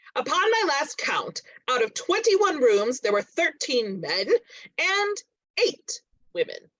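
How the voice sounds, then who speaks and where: A put-on character voice sits at an extremely high pitch with very wide pitch swings. It moves at a fairly slow pace with long, frequent pauses. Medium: stage play. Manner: wry, playful.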